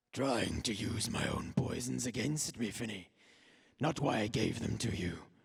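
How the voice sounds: A man's raspy, menacing put-on character voice at a medium pitch and a moderate pace.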